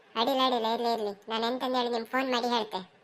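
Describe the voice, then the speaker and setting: Putting on a cartoonish character voice, a woman talks at a fairly high pitch and a fairly quick pace with monotone, flat intonation. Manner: polite, hesitant.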